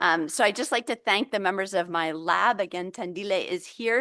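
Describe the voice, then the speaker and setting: A woman with an American accent speaks at medium pitch with ordinary pitch variation and a bright, sharp tone. The sound is dry and close with no echo, over a quiet background. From United States. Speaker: vaccine researcher, lab head. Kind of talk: lecture. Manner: hesitant, many fillers.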